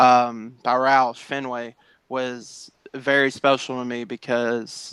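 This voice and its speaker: A man with a Southern accent talks at a very slow pace in a medium pitch, his intonation flat and monotone. The recording is very clean and dry, with a silent background and a close sound free of echo. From Tennessee. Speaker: sim racing esports driver. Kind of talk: interview. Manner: halting, many fillers.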